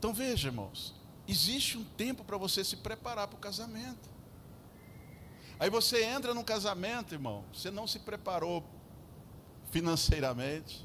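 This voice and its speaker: A high-pitched man's raised, projected voice, bright and sharp in tone, with very wide pitch swings, long, frequent pauses and audible room echo. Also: moderate pace. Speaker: pastor. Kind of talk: sermon. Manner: animated.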